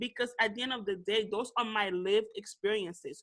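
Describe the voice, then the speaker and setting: A woman speaks with a Haitian accent at a moderate pace. Her tone is animated, bright and sharp. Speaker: podcast co-host. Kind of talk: casual discussion.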